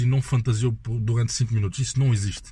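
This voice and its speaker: A man with a medium pitch talks at a fairly quick pace, his intonation fairly even. His tone is dark and mellow, and somewhat breathy. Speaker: podcast guest. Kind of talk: casual chat.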